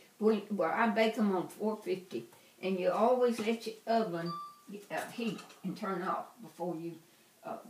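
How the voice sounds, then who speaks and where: With noticeable background noise around her, a woman talks in an American accent. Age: 80s+. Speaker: grandmother teaching baking. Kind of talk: cooking demonstration to family. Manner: slow.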